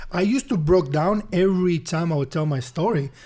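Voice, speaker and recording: A man's high voice with lively intonation and a Spanish accent. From Honduras. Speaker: business speaker. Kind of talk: interview testimony. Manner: halting.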